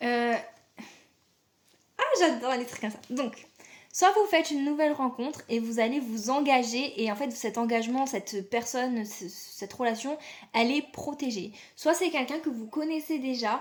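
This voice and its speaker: A woman speaks in a high voice at a moderate pace. Her loudness swings widely, and she takes long, frequent pauses. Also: ordinary pitch variation. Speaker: tarot reader. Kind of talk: tarot reading. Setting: video recording. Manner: casual, hesitant.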